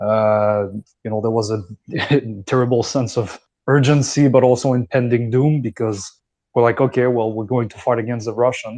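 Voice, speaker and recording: Against a quiet background, a man with a Quebec accent speaks at a moderate pace in a medium pitch, his dark, mellow tone paired with monotone, flat intonation. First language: French. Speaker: foreign volunteer fighter. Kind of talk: casual discussion. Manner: halting.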